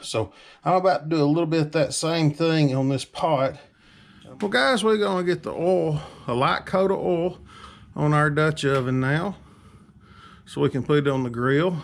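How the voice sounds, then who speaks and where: With long, frequent pauses, a man of fairly high pitch speaks with ordinary pitch variation on a very clean recording with a silent background. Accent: Southern US. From Alabama. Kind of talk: casual talk to camera.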